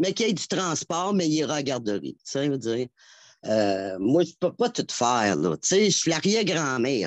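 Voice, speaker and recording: Over a quiet background, a woman with a very deep, low pitch speaks at a moderate pace with very wide pitch swings, in a dry, close sound with no echo. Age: 60s. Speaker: caller to a health and home care show. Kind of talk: phone-in testimony. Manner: halting, many repetitions.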